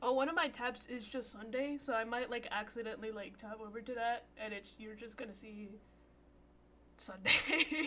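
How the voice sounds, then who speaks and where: Over noticeable background noise, a woman with a fairly high pitch talks at a moderate pace. Her loudness swings widely while her intonation stays fairly even. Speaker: video game streamer. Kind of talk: live stream commentary. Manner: uneven volume, sometimes too quiet or loud; casual, filler-heavy.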